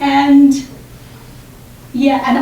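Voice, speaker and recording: The speaker talks with a Chinese accent. Background noise is noticeable, and there is audible room echo. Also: woman. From China. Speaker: doctoral student. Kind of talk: symposium talk. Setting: room with audience.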